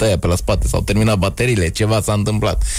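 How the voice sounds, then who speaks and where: This man speaks at a very fast pace in a very deep, low voice. Noticeable background noise runs under the recording. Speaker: comedian. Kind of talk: casual chat.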